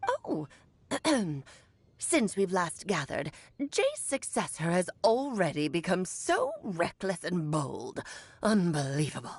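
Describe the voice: A woman's put-on character voice at medium pitch, fairly slow, with long, frequent pauses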